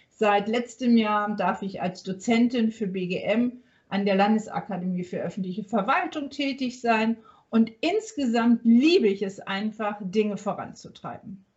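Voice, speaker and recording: A woman with a fairly high, somewhat breathy voice speaks at a fairly slow pace. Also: ordinary pitch variation. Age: 50s. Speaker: workplace health consultant and business owner. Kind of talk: podcast interview. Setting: remote recording from a hotel.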